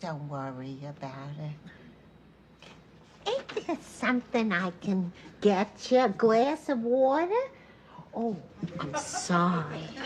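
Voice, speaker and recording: A woman performs a put-on character voice at a medium pitch, with very wide pitch swings. Her pace is fairly slow, with long, frequent pauses. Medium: short film. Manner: rambling, earnest.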